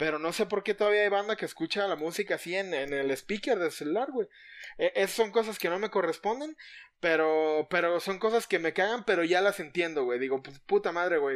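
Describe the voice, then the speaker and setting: Speaking fairly quickly with a Mexican accent, a man uses a high pitch and lively intonation on a very clean recording with a silent background. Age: 30s. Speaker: podcast co-host. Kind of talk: casual chat.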